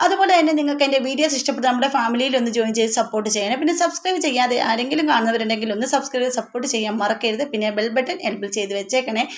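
The speech carries ordinary pitch variation over noticeable background noise. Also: woman, high pitch for a woman. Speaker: YouTube tips channel host. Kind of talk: tutorial. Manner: conversational, chatty.

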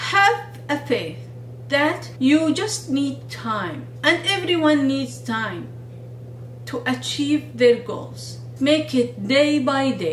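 Against light background noise and audible room echo, a woman speaks at a very slow pace. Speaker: video blogger and researcher. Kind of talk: monologue video talk with advice. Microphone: phone near.

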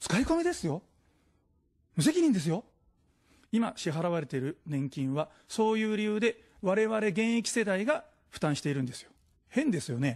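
Over a quiet background, a man speaks with very wide pitch swings. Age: 40s. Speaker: political candidate; candidate. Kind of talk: political campaign speech. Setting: studio. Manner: formal. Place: studio. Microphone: podium.

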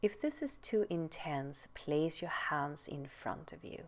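A woman's very deep, low voice in a calm, gentle tone at a very slow pace. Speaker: yoga teacher. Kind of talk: guided yoga instruction. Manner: calm, gentle, clear, measured cues; slow, soothing. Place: home room.

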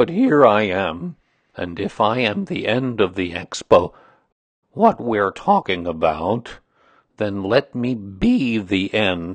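Delivered at a slow pace, this put-on character voice makes big pitch swings.

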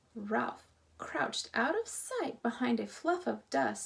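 Someone reads in an unforced voice.

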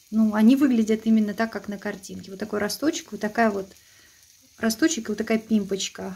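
A woman's dark, mellow, somewhat breathy voice at a moderate pace with fairly even intonation. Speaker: food reviewer. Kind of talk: casual vlog chat. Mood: sarcastic, disappointed. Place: kitchen. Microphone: phone near.

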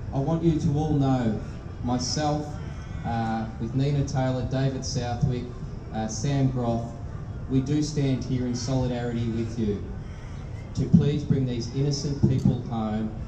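A man at a fairly slow pace with fairly even intonation and long, frequent pauses, over noticeable background noise. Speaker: politician giving a speech. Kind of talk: public speech. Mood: solemn, grave. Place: stage.

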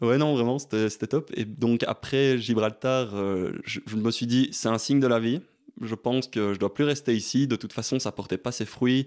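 Heard on a very clean recording with a silent background, a man speaks at a moderate pace and medium pitch with fairly even intonation. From Belgium, Liège. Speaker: adventurer and bioengineer. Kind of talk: casual chat. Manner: halting.

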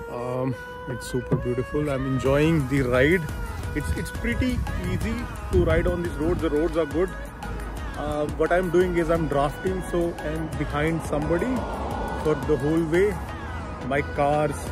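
Against clear music in the background, a man speaks at a moderate pace with long, frequent pauses, the sound dry with no echo. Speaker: road trip vlogger. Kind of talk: casual vlog chat. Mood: relaxed, content. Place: street. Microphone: phone near.

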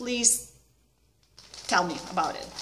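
A woman speaks with a Lithuanian accent. Her voice is high-pitched. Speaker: needlework vlogger. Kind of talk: casual vlog chat. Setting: video at home. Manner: informal, slightly halting. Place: home room. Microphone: webcam.

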